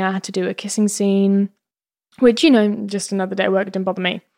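A woman speaks in a southern English accent at medium pitch, her intonation monotone and flat. The recording is very clean, with a silent background. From England, Bedfordshire. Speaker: actress. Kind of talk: casual chat. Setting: studio.

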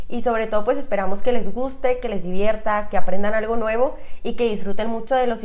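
In a northern Mexican accent, a woman with a medium pitch and ordinary pitch variation talks at a fairly quick pace over noticeable background noise. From Chihuahua, northern Mexico. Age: 20s. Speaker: podcast co-host. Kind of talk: casual chat.

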